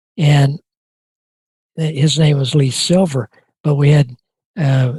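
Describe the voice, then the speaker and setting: This man has an American accent and a fairly high, somewhat breathy voice with ordinary pitch variation at a moderate pace. The sound is dry and close, with no echo. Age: 80s+. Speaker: retired NASA flight director. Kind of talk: interview answer.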